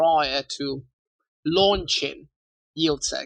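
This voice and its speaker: A man with a non-native accent, a fairly high pitch and a bright, sharp tone, at a fairly slow pace with ordinary pitch variation. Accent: non-native British-style English. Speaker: podcast host. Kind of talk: interview.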